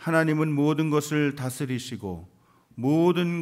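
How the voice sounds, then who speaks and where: A man's fairly high-pitched voice at a very slow pace, over a quiet background. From South Korea. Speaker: pastor. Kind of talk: sermon. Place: church. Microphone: podium.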